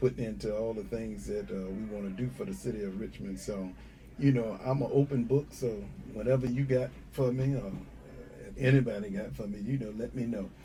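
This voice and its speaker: A man with an American accent speaks at a moderate pace, and audible room echo surrounds him. His voice is somewhat breathy, with a dark, mellow tone. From North Carolina (Wilmington). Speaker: sheriff candidate, police officer. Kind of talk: interview.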